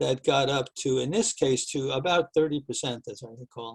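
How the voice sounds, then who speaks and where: In an ordinary speaking voice, a man talks at a moderate pace with a medium pitch and ordinary pitch variation, the sound dry and close with no echo. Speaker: professor. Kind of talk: lecture.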